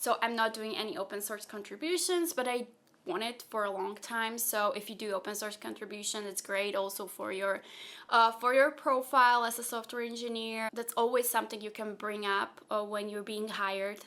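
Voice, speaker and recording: A woman with a Slovak accent speaks at a fairly high pitch and moderate pace in a bright, sharp tone. The recording is very clean, with a silent background. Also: ordinary pitch variation. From Slovakia, partly raised in Austria. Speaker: software engineer and content creator. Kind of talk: Q&A vlog.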